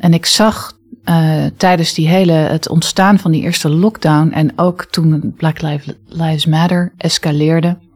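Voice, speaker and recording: Somewhat breathy, a woman speaks at a very slow pace with fairly low pitch and fairly even intonation. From international upbringing, early childhood in Indonesia. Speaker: future school leader, former English teacher. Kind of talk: interview. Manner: assertive.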